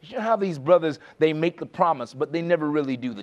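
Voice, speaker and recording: A man with a fairly high pitch rattles along at a very fast pace in an animated tone. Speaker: preacher. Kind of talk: sermon. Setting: church. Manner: rhetorical, exhortative.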